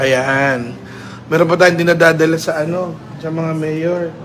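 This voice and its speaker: Noticeable background noise and audible room echo surround a man whose fairly high voice moves at a fairly slow pace with fairly even intonation. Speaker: town mayor. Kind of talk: casual livestream chat. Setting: office. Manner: halting.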